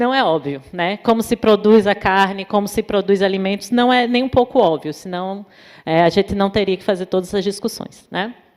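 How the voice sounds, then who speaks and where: A woman of medium pitch with a northeastern Brazilian accent, speaking at a moderate pace. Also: ordinary pitch variation. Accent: Natal (Northeast Brazilian). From Northeast Brazil, Natal. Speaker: psychologist and popular educator. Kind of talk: talk at an event. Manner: hesitant, many fillers.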